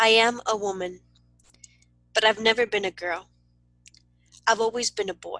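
A woman's fairly high, bright, sharp voice at a moderate pace, flat and monotone, with long, frequent pauses, dry close sound with no echo and a quiet background. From Southern California (Wilmington, Los Angeles area). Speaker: poet and writer. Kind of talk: poetry reading.

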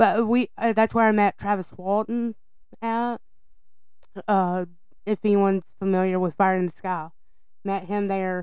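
Long, frequent pauses mark a woman's fairly slow speech in an American accent, at medium pitch with fairly even intonation. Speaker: podcast co-host.

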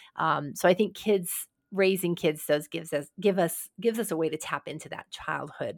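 A woman with a plain, everyday voice speaks at a moderate pace, her pitch fairly low with ordinary variation, on a very clean recording with a silent background. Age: 60s. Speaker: podcast host and leadership consultant. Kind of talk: casual chat.

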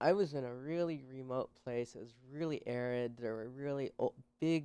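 With an American accent and a plain, everyday voice, the speaker talks at a fairly slow pace with ordinary pitch variation on a very clean recording with a silent background. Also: man. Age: 30s. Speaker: herpetologist and self-taught naturalist. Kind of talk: interview.

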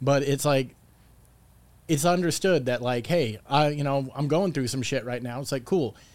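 With an American accent, a man speaks at a moderate pace in an ordinary speaking voice, fairly high in pitch. His pitch variation is ordinary, and the recording is very clean with a silent background. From Palm Springs, California. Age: 30s. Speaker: stand-up comedian and show producer. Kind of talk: casual chat.

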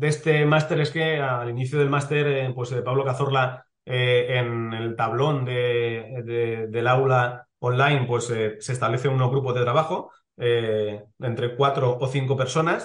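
The delivery is fairly slow and somewhat breathy, with hardly any pauses. Intonation stays fairly even. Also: man, medium pitch for a man. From Spain, Elche (Valencian region). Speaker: sports lawyer, club legal director. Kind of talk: interview. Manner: hesitant, with many fillers.

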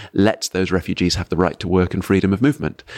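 A man with an English accent speaks at a very deep, low pitch with ordinary pitch variation, in a very clean recording with a silent background and a dry, close sound with no echo. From England. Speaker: professor. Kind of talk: conversational interview. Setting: conference venue.

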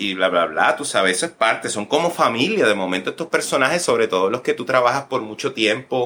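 In a Puerto Rican accent, a man speaks at medium pitch with a bright, sharp tone and lively intonation, moving at a fairly quick pace with hardly any pauses. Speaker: actor and director. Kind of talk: interview. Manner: halting, many fillers and repetitions.

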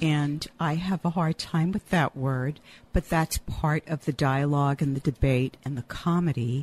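A woman's very deep, low voice, fairly slow and fairly even in intonation, with a dry, close sound and no echo. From rural Louisiana, Cajun. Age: 60s. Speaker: playwright and college teacher. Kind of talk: casual chat.

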